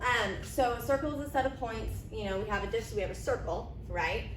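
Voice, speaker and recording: Fairly quick speech from a woman against noticeable background noise. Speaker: math teacher. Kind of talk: recorded lesson. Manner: fast; casual, filler words. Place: classroom. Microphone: camera far.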